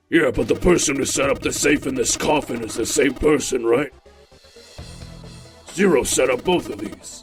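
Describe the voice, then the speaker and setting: A man's put-on character voice at a fairly high pitch, with faint music in the background. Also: moderate pace. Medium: dub.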